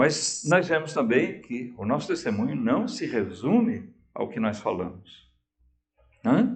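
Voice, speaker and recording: With vocal fry and very wide pitch swings, a man speaks at a very slow pace and a fairly high pitch amid audible room echo. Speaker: pastor. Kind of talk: sermon. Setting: church. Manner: slow, with pauses; calm.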